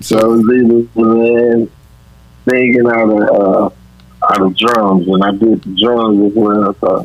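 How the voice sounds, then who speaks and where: A man at a medium pitch in a flat monotone, fairly slow, with long, frequent pauses. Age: 30s. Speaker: singer. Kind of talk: radio interview.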